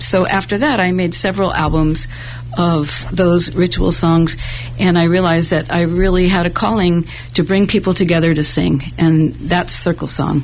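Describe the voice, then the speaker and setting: Noticeable background noise sits under a woman with a fairly low pitch and very even loudness. She keeps a moderate pace and fairly even intonation. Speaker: singer-songwriter. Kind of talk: casual interview. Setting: studio.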